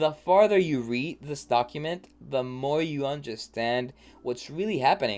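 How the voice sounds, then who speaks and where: Here a man speaks with lively intonation. The recording is very clean, with a silent background. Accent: non-native. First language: not English. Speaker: crypto market analyst. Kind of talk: market review livestream; reading aloud. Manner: halting; casual.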